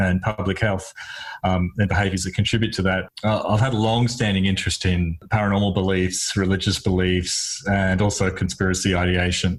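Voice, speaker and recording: A man speaks with an Australian accent at a fairly low pitch and moderate pace. His voice is somewhat breathy, with monotone, flat intonation. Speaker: psychologist, podcast host. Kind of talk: casual chat. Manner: halting.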